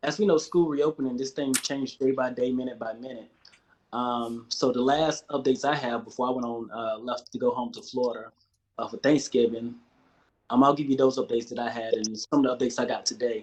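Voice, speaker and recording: This man speaks at a medium pitch with an American accent. His pace is fairly quick. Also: ordinary pitch variation. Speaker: education department community liaison. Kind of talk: public meeting briefing.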